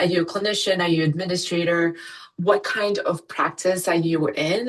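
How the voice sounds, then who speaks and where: At a moderate pace, a woman speaks in a normal speaking voice with a fairly low pitch. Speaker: physician and ultrasound educator, company founder. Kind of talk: webinar presentation. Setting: online webinar.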